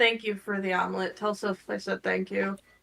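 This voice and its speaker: Raspy, put-on character voice from a woman at medium pitch, delivered at a fairly quick pace. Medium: actual play. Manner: nervous, self-deprecating.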